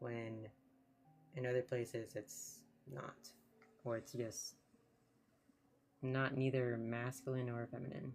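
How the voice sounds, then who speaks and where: Soft-spoken and with an American accent, a man of medium pitch talks at a very slow pace with fairly even intonation and long, frequent pauses over music in the background. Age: 30s. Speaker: streamer. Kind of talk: casual chat.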